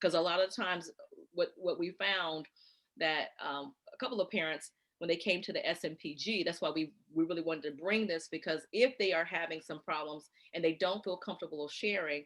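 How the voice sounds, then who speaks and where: A woman speaks at a fairly quick pace with a fairly low pitch and an American accent. She has a plain, everyday voice with ordinary pitch variation. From North Carolina. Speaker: gifted education coordinator. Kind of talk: Q&A answer in parent workshop.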